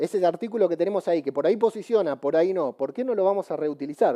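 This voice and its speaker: Talking at a very fast pace, a man with a dark, mellow tone and lively intonation comes through in a dry, close sound with no echo. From Argentina. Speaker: podcaster and conference speaker. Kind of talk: conference talk. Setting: stage with audience. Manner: animated.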